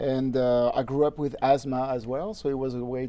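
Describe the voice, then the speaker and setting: A man's dark, mellow tone with a slight French accent. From France, Normandy. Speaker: harmonica player. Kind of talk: interview. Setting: studio.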